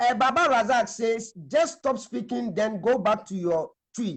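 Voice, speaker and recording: At a moderate pace, a man speaks with an extremely high pitch and lively intonation. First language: a Ghanaian language. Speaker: religious teacher. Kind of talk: live stream discussion. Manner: halting.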